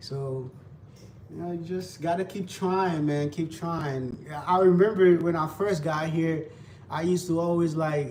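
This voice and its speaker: In a relaxed tone and a Haitian accent, a man speaks at a high pitch and a fairly slow pace, with fairly even intonation and audible room echo. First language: Haitian Creole. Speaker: livestreamer. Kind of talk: casual livestream chat while cooking. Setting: live stream. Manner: relaxed, repetitive.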